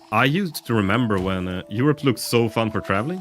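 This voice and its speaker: A man's voice over music in the background. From northern Sweden. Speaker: video game streamer. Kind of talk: casual live-stream chat while gaming. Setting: live stream. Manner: chatty, with many hesitations.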